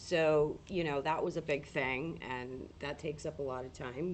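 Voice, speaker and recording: A woman's very deep, low voice at a fairly slow pace, with fairly even intonation. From New England. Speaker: paranormal livestreamer. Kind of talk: casual livestream chat.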